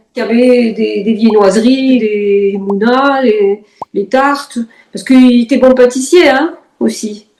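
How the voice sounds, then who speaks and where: Slow to a very high degree, a woman speaks at a fairly high pitch. Her pitch variation is ordinary. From Algeria (pied-noir, Sidi Bel Abbès region). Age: 70s. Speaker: interviewee, relative of the host. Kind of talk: casual reminiscing interview. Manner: hesitant, many fillers.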